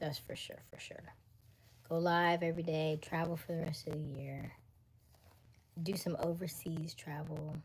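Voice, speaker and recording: A woman with a Florida accent and a fairly low, somewhat breathy voice speaks at a fairly slow pace in a monotone, flat way, with big swings in loudness and long, frequent pauses. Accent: US South, Florida. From Florida, Jacksonville (Duval). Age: 30s. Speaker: livestreamer. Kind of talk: casual chat. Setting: live stream.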